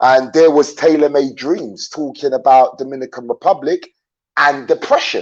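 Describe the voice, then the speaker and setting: In an English accent, a man speaks at a fairly high pitch and moderate pace with fairly even intonation. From London, England (born in Jamaica). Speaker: YouTuber, traveler. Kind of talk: interview on live stream. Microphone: dodgy internet connection.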